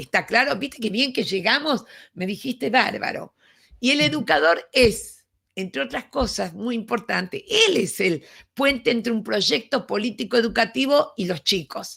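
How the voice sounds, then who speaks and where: A woman speaks fairly slowly at a fairly high pitch, with very wide pitch swings. Her tone is bright and sharp, with vocal fry. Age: 70s. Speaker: education speaker. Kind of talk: lecture.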